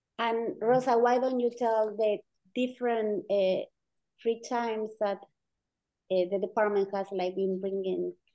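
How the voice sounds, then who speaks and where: A woman with an Argentine accent speaks at a fairly slow pace, her fairly high voice keeping fairly even intonation. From Argentina. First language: Spanish. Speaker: professor. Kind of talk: casual chat.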